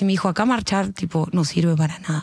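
A woman speaking at a fairly quick pace with a Rioplatense accent. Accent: Argentine Spanish (rioplatense). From Argentina. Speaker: singer and rapper. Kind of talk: casual chat. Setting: at home.

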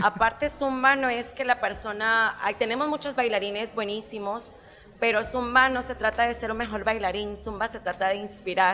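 Bright and sharp in tone, a woman's voice sits at a fairly high pitch. She keeps a moderate pace and fairly even intonation. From Guatemala, Jutiapa. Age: 30s. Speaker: zumba instructor. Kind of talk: casual interview.

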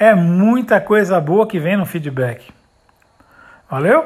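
A man talks at a fairly slow pace with a high pitch and lively intonation. The recording is very clean, with a silent background. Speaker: sales trainer podcaster. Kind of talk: motivational talk. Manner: energetic.

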